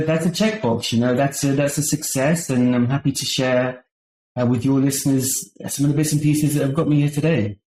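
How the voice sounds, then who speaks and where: A man speaks at a fairly quick pace with a medium pitch and fairly even intonation. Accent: British. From United Kingdom, London area. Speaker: marketing agency founder. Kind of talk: podcast interview. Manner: halting, many repetitions and fillers.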